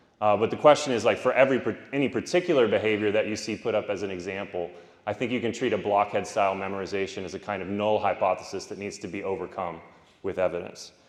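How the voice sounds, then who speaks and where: At a very fast pace, a man talks at a fairly low pitch with ordinary pitch variation. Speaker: philosophy professor giving keynote. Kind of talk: conference keynote lecture. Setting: conference stage with audience. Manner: loud.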